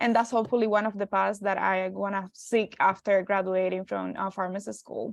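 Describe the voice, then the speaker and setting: A woman's medium-pitched voice with a Spanish accent, fairly even intonation and a fairly quick pace. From Cuba. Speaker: pharmacy student. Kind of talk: panel discussion.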